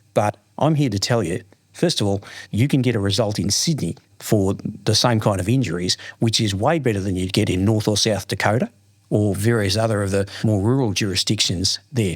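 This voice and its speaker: With a strong Australian accent, a man talks fairly quickly at a fairly low pitch with ordinary pitch variation, in a very clean recording with a silent background. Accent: broad Australian. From Australia, Melbourne's west. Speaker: lawyer. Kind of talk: interview. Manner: repeats words, animated storytelling.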